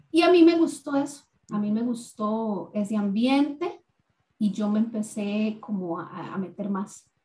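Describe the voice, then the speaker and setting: A woman speaks fairly slowly, her fairly high voice dark, mellow and somewhat breathy. Her intonation is lively, with big swings in loudness. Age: 40s. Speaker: recovering addict sharing faith story. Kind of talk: testimony.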